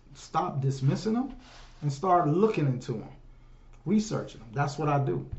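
Audible room echo surrounds a man who speaks at a moderate pace with a fairly high pitch and lively intonation. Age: 50s. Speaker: solo podcaster and livestreamer. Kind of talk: casual monologue. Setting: home livestream on phones. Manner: animated, conversational. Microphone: room echo, no headphones.

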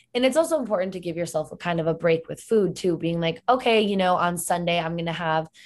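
A woman speaks with an American accent in an ordinary speaking voice, fairly low in pitch with ordinary pitch variation. Her pace is fairly quick against a quiet background. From Connecticut. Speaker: health and fitness coach. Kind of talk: casual interview chat. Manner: casual, filler-heavy.

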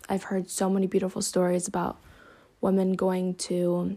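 A woman's dark, mellow voice at a medium pitch, on a very clean recording with a silent background. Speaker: solo podcaster. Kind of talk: personal reflective monologue. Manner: monotone.

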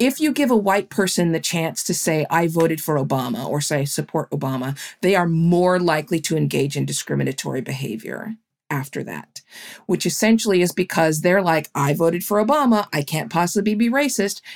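Fairly low for a woman and marked by vocal fry, her voice moves at a fairly quick pace with lively intonation. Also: very clean recording, silent background. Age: 50s. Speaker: journalist and author. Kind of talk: interview.

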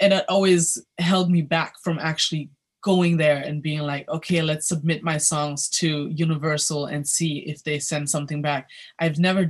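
Over a quiet background, a woman speaks at a moderate pace with a very deep, low pitch. Her voice is somewhat breathy, and its pitch varies in an ordinary way. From Germany, Berlin. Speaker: singer and vocal coach. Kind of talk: interview.

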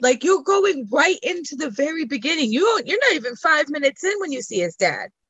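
Moving at a fairly quick pace, a woman's extremely high voice makes very wide pitch swings. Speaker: guest. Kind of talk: casual chat.

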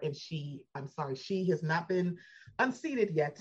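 This woman's voice is somewhat breathy, with an American accent. She speaks at a moderate pace. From Baltimore, US. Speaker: podcaster, superfan guest. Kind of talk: casual chat.

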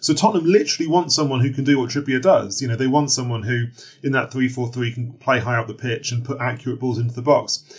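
A man with a medium-pitched, somewhat breathy voice speaks very fast with ordinary pitch variation. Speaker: football journalist. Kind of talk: interview.

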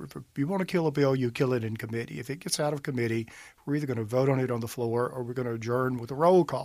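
At a very fast pace, a man speaks with medium pitch and ordinary pitch variation. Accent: Mississippi. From US South, northeast Mississippi (Monroe County). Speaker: state senator, attorney. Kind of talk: interview.

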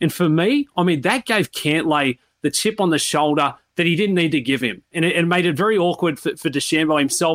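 An Australian-accented man talks fairly quickly at a high pitch with lively intonation, the sound dry and close with no echo, on a very clean recording with a silent background. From Sydney, Australia. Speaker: golf analyst, former caddie. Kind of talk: interview, sports analysis.

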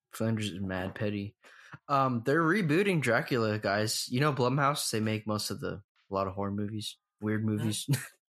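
Speaking at a moderate speed, this man has a plain, everyday voice with a fairly low pitch and ordinary pitch variation. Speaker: podcast host. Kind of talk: casual comedy chat.

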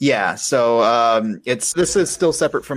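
A man's normal speaking voice, medium in pitch, with an American accent and ordinary pitch variation, on a very clean recording with a silent background. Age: 30s. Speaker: fantasy illustrator. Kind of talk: casual chat.

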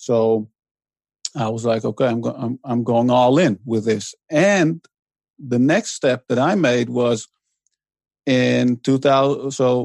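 A man speaks very slowly with a Dutch accent. The sound is dry and close, with no echo. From Netherlands, to Iranian immigrant parents. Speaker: author and blogger. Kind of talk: interview. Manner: hesitant, many fillers.

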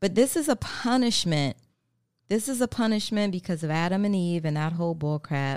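In a very clean recording with a silent background, a woman speaks at a fairly quick pace in an ordinary speaking voice, medium in pitch with lively intonation. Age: 40s. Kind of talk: casual monologue.

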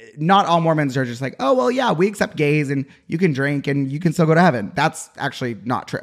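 A man's fairly high voice in an American accent, with lively intonation, a fairly quick pace and hardly any pauses. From Utah. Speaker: podcast guest. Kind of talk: casual chat. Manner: energetic.

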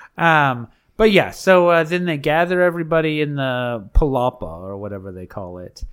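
A man's fairly high voice at a moderate pace, with very wide pitch swings and big swings in loudness. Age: 40s. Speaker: podcast co-host recapping reality TV; teacher. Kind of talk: casual chat. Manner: animated.

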